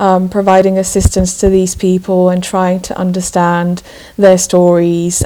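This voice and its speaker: Noticeable background noise surrounds a woman speaking at medium pitch and a fairly slow pace in a monotone, flat intonation. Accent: Slovak. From Slovakia. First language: Slovak. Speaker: journalist. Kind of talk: interview. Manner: halting.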